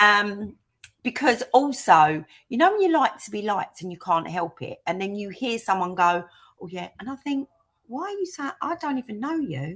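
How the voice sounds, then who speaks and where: Speaking in a Cockney accent at a moderate pace, a woman with a fairly high voice makes very wide pitch swings and big swings in loudness. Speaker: interviewee sharing life story. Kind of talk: interview. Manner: animated.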